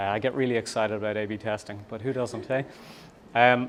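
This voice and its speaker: A man with an Irish accent and fairly even intonation. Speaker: startup founder and CEO. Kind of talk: conference talk. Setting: meetup with audience. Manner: fast; hesitant, many fillers.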